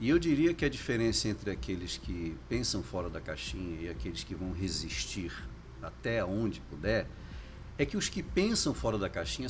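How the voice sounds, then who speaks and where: A man's very deep, low voice with vocal fry and very wide pitch swings, at a moderate pace, with audible room echo. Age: 60s. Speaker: foundation director. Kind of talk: casual interview.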